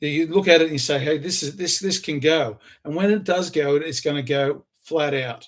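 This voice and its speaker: A man with an Australian accent and a fairly high pitch. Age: 60s. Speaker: inventor and entrepreneur. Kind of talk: self-recorded pitch video.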